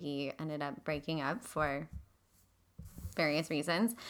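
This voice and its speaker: A woman with a very deep, low pitch and a bright, sharp tone talks at a fairly slow pace on a very clean recording with a silent background. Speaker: podcast co-host, mental health professional. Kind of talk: casual chat.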